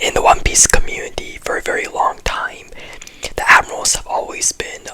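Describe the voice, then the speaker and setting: Whispered speech comes at a moderate pace, with noticeable background noise behind it. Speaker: anime commentary youtuber. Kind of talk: video essay commentary. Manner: very quiet.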